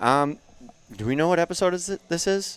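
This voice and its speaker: Loud and at a fairly quick pace, a man is speaking. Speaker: fitness coach, podcast co-host. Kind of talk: casual chat.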